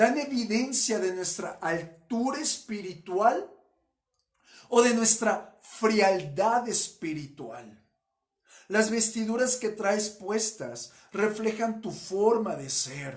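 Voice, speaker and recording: The speech moves at a very slow pace with ordinary pitch variation. Audible room echo surrounds it. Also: man, high pitch for a man. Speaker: pastor. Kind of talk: sermon.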